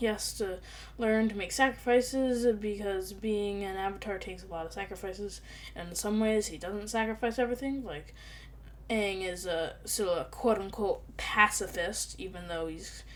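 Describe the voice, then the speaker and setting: A woman talks at a moderate pace with big swings in loudness, while music plays in the background and the room echo is audible. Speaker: YouTuber ranking cartoon characters. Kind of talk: casual commentary video.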